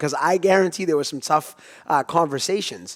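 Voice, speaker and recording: A man with an unremarkable speaking voice talks at a fairly quick pace, his pitch fairly high with ordinary variation. The sound is dry and close, with no echo. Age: 30s. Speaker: podcast host. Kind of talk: podcast interview. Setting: studio.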